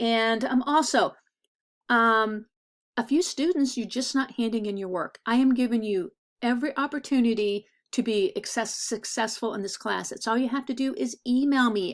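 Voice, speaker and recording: On a very clean recording with a silent background, a woman with a fairly high pitch speaks at a moderate pace with ordinary pitch variation in an ordinary speaking voice. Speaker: art teacher. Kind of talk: recorded class lecture. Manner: casual, filler-heavy.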